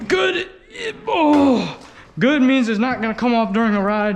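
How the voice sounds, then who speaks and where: A man's high-pitched voice with lively intonation at a fairly slow pace, amid audible room echo and noticeable background noise. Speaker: motorbike vlogger. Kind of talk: unboxing vlog.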